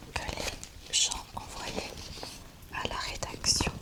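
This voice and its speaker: Someone is whispering at a very slow pace over noticeable background noise. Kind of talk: ASMR show-and-tell. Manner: soft-spoken.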